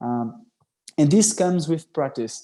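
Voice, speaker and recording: Over a quiet background, a man speaks with a dark, mellow tone. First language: Portuguese. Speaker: workshop presenter, scout youtuber. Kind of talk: online workshop. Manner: casual, hesitant with fillers.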